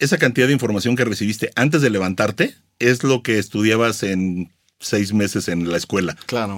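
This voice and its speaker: In a plain, everyday voice, a man speaks at a fairly quick pace with lively intonation. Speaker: blogger and content creator. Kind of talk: interview.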